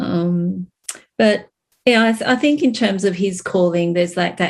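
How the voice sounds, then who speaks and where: A woman with an Australian accent, fairly low in pitch, with ordinary pitch variation. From Australia, Sydney. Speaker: church co-founder and business owner. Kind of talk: interview conversation. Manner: hesitant, many fillers.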